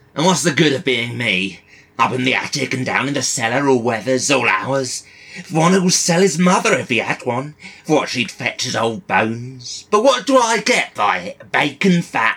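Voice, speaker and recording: A man puts on a character voice. His pitch sits at a medium level. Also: moderate pace. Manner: surly, bitter.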